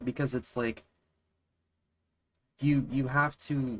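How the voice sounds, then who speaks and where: A man talks quietly at medium pitch. His pace is very slow. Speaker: game developer streamer. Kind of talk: casual live stream talk. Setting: live stream at computer. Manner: quiet, monotone; halting.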